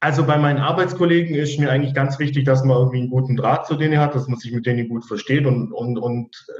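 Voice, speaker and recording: Talking at a very fast pace with fairly even intonation, the speaker is heard over noticeable background noise. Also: man. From Allgäu, southern Germany. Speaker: service technician. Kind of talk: interview. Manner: hesitant, many fillers.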